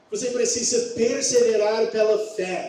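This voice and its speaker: A man speaks at a high pitch with lively intonation. The recording has audible room echo and noticeable background noise. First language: English (speaking Portuguese). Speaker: pastor. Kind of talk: sermon. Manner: halting.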